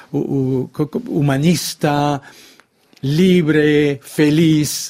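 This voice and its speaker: A man speaks with a French accent. His pitch is fairly high and his tone dark and mellow. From France, Brittany. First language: French (speaking Spanish). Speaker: author. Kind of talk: radio interview.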